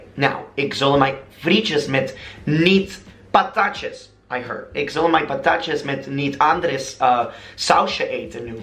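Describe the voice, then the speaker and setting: An animated man with an American accent and lively intonation at a fairly slow pace, with audible room echo and music in the background. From United States. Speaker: vlogger. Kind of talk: casual vlog monologue.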